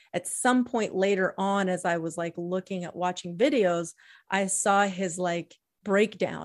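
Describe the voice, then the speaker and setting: An ordinary speaking voice moves at a fairly slow pace with fairly even intonation on a very clean recording with a silent background. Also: woman, medium pitch for a woman. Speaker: podcast co-host. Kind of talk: casual chat.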